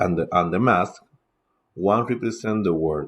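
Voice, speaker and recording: A man with a Spanish accent and a very deep, low voice, ordinary pitch variation, against a quiet background. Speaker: teacher and podcaster. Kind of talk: casual lecture. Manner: halting, with filler sounds.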